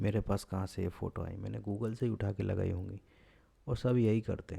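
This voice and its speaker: At a moderate pace, a man speaks at fairly low pitch in a somewhat breathy, dark and mellow tone with fairly even intonation, on a very clean recording with a silent background. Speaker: blogging tutorial youtuber. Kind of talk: screen-recorded tutorial. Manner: lazy, relaxed delivery.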